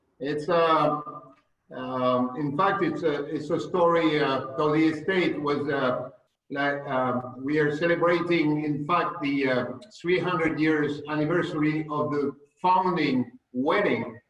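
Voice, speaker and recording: With audible room echo, a man with a fairly high pitch speaks at a fairly slow pace and with fairly even intonation. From France. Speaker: winemaker, estate owner. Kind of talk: interview, wine tasting talk. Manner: halting, many fillers.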